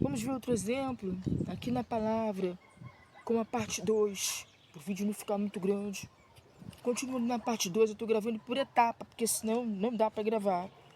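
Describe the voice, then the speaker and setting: She is a soft-spoken woman with a fairly high pitch. Her intonation is fairly even and her pace moderate. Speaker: missionary preacher. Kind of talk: sermon. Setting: outdoors on a prayer mountain.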